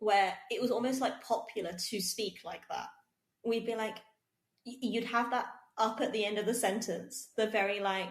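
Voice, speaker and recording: With a plain, everyday voice, a woman speaks at a moderate pace and a fairly high pitch, her intonation fairly even. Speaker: podcast co-host. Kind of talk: podcast conversation.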